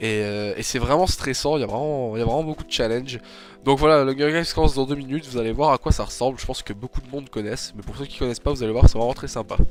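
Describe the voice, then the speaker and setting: Noticeable background noise sits behind a man speaking at a very fast pace. His pitch is medium, with ordinary pitch variation. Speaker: gaming youtuber. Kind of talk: gameplay commentary. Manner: hesitant, many fillers.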